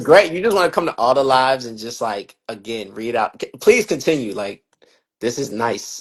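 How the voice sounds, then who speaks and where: A man with a plain, everyday voice speaks in a medium pitch at a moderate pace, his intonation lively and his loudness swinging widely. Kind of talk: casual livestream talk. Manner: upbeat.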